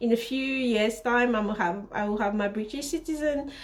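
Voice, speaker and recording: A woman with a non-native accent speaks at a moderate pace in a high voice. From Central Africa (Congo/Cameroon roots). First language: not English. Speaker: fashion designer and vlogger. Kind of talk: casual storytelling vlog. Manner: hesitant, self-correcting.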